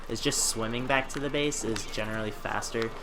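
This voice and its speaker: A man speaks with ordinary pitch variation. Audible room echo and noticeable background noise are present. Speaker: gaming commentator. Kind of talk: live gameplay commentary. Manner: fast.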